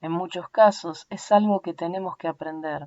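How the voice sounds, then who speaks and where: A woman with an Argentinian accent keeps her intonation fairly even. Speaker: audiobook narrator.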